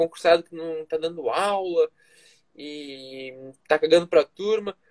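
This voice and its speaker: A man with a high pitch talks at a fairly slow pace, using ordinary pitch variation. The sound is dry and close, with no echo. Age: 20s. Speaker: nutrition student, former footballer. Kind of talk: casual interview chat.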